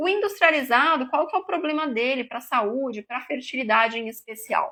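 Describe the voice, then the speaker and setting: A woman speaks in a raised, projected voice with a bright, sharp tone and high pitch. Her intonation is lively and her pace moderate. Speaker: nutritionist. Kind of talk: live stream talk. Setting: live stream.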